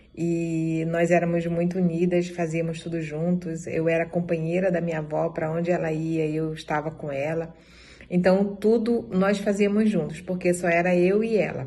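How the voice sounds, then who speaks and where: This woman's voice sits fairly low, with a dark, mellow tone and fairly even intonation. She talks at a moderate pace, and the room adds audible echo. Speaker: dance group member. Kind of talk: testimony.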